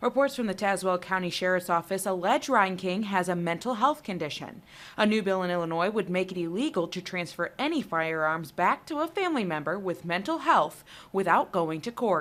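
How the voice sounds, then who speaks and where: A woman with an unremarkable speaking voice talks at a fairly quick pace and medium pitch. Her intonation is lively. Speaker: TV news reporter. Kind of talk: TV news report.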